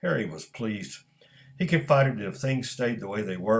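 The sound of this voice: With lively intonation, an unforced reading voice reads on.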